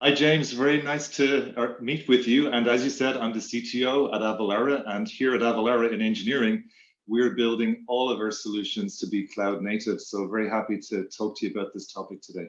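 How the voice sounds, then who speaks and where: A man with an Irish accent, medium pitch, ordinary pitch variation, and a fairly quick pace. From Ireland. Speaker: tech executive. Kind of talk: interview.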